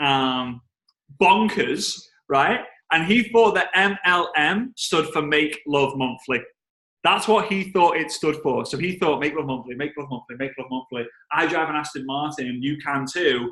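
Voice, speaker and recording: With a strong Liverpool accent, a man talks at a fairly slow pace in a fairly high pitch, his bright, sharp tone carrying lively intonation. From England, Liverpool. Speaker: network marketing trainer. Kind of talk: storytelling on a team call. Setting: conference call. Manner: animated.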